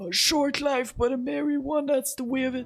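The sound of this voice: A man performs a put-on character voice at a moderate pace. Faint music sits in the background.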